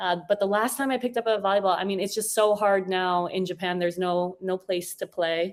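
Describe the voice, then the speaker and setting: A woman with an American accent talks in a plain, everyday voice at a fairly quick pace with hardly any pauses, her medium pitch held in fairly even intonation. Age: 40s. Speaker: podcast guest. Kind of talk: casual chat.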